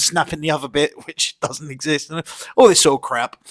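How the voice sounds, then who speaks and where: A man talks at a moderate pace in a British accent. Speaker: YouTube commentator. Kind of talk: casual commentary vlog. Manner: animated, profane ranting; halting, many fillers.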